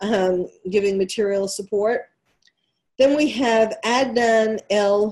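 With a New York accent, a woman speaks very slowly at medium pitch. Her tone is dark and mellow, and her pitch varies in an ordinary way. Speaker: psychiatrist and radio host. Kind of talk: opinionated talk radio monologue. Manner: halting, many fillers.

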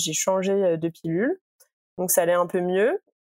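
At a moderate pace, a woman talks at medium pitch, the sound dry and close with no echo. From Île-de-France, near Paris. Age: 20s. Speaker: interviewee sharing personal health experience. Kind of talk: casual chat. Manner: hesitant, many fillers.

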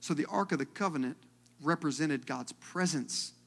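Vocal fry marks a man's fairly high voice, which has ordinary pitch variation. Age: 30s. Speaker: pastor. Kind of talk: sermon. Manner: animated.

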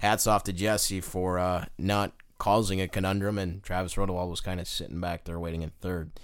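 With hardly any pauses, a man with an American accent speaks in a very deep, low pitch and monotone, flat intonation. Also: moderate pace. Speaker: racetrack announcer and podcast host. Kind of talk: casual podcast chat about racing.

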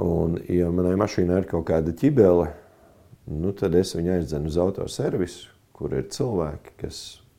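With vocal fry and a dark, mellow tone, a man speaks in a very deep, low pitch with ordinary pitch variation. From Latvia, Kurzeme (Kuldīga). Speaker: pastor and military chaplain. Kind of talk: interview. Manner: hesitant, many fillers.

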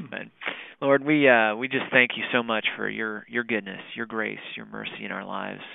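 His loudness rises and falls in big swings. The man keeps a moderate pace. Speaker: podcast host. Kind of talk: interview.

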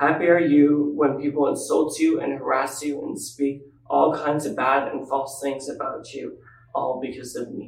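Noticeable background noise sits under this man's voice. He speaks at a moderate pace in a flat monotone. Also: fairly high pitch for a man. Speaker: scripture reader. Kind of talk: reading aloud.

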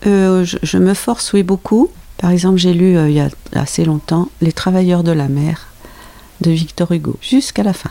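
A woman with a fairly low pitch speaks at a moderate pace with ordinary pitch variation. There is noticeable background noise. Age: 60s. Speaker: host's mother, reader. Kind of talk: casual chat.

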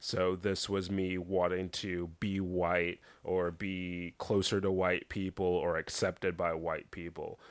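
Speech comes in an American accent at a very slow pace, with monotone, flat intonation. The recording is very clean, with a silent background. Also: man, very deep, low pitch for a man. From Texas (Dallas). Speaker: podcast guest. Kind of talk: casual chat.

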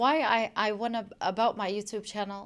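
At a moderate pace, a woman speaks with a Chicago accent in a fairly high voice. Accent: Chicago American. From US Midwest, Chicago. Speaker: social media influencer. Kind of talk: radio interview. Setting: radio studio.

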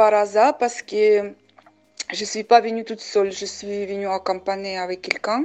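A woman at medium pitch, with fairly even intonation and a dark, mellow tone. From Uzbekistan, Samarkand. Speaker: painter. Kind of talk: testimony. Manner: hesitant, many fillers.

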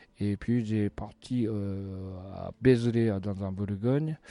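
With a Japanese accent, a man speaks very slowly in a fairly low, dark, mellow voice with fairly even intonation against a quiet background. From Japan, Sapporo. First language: Japanese (speaking French). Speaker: chef. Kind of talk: interview. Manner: halting.

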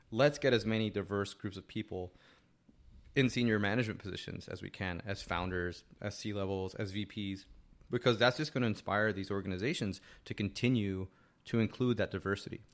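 A man with an American accent has an unremarkable speaking voice and ordinary pitch variation. He talks at a fairly quick pace in a very clean recording with a silent background. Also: fairly low pitch for a man. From New Jersey, Hackensack. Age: 40s. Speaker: tech entrepreneur and author. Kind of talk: casual interview chat. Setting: host's apartment studio.

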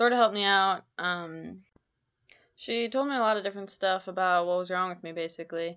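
Her voice is an unremarkable speaking voice, a woman's at medium pitch with fairly even intonation. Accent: American. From Minnesota, Twin Cities. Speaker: college basketball player and podcaster. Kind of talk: personal monologue podcast. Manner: casual, many filler ums.

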